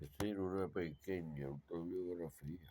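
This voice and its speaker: A man speaks at a very slow pace in a very deep, low voice. His pitch variation is ordinary. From Puerto Rico (San Juan and Yauco). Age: 60s. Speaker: autobiographical storyteller. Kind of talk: personal monologue, autobiography. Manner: halting, self-correcting.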